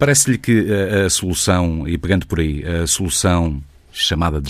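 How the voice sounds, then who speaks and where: This man has a very deep, low pitch. He talks at a moderate pace. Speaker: radio interviewer. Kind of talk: political interview.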